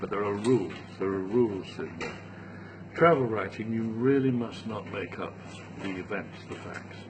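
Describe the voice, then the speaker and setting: A man with a British accent speaks at a moderate pace and fairly low pitch, with ordinary pitch variation and long, frequent pauses. Room echo is audible and background noise is noticeable. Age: 70s. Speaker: travel writer. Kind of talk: interview. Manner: halting.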